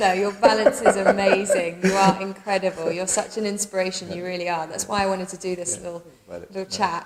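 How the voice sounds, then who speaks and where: A woman talks very fast with hardly any pauses, her loudness swinging widely, over noticeable background noise. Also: medium pitch for a woman. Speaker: yoga teacher. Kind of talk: casual interview questions to camera. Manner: upbeat.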